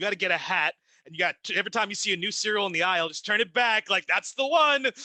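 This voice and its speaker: Bright and sharp in tone, a man with a high pitch speaks very fast in a raised, projected voice, with lively intonation and big swings in loudness. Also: dry, close sound with no echo. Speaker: ring announcer. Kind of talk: casual interview conversation.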